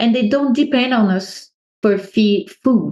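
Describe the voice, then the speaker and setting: A woman speaks with a French accent. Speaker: natural beekeeper. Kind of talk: podcast interview.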